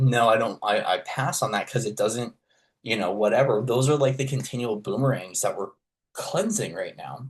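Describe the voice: At a moderate pace, a man speaks in a fairly low voice with a slightly husky edge and lively intonation.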